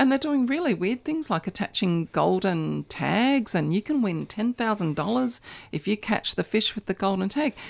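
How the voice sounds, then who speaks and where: A woman with an Australian accent, medium pitch and very wide pitch swings, a fairly slow pace with hardly any pauses, very even loudness, on a very clean recording with a silent background. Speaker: animal advocacy organiser. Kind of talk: radio interview. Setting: radio studio.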